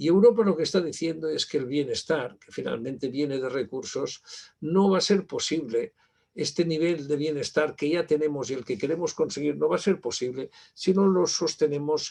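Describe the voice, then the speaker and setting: A man with a dark, mellow tone and a fairly high pitch talks at a moderate pace, his loudness swinging widely while his pitch varies an ordinary amount. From Spain. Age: 60s. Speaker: university library director, keynote speaker. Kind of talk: conference keynote lecture. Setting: virtual conference. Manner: halting, many fillers.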